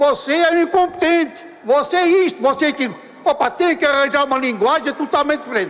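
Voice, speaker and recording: In an animated tone, a man with an extremely high pitch talks at a very fast pace over noticeable background noise. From Portugal, Lisbon. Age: 80s+. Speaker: party member giving a congress speech. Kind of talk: public speech.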